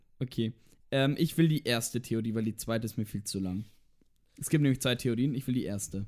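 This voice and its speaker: Animated in tone, a man with a medium pitch talks at a fairly quick pace, stopping for long, frequent pauses. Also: ordinary pitch variation. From Franconia, Germany (near Nuremberg). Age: 20s. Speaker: podcast co-host, university student. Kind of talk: casual chat. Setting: in the same room as co-host.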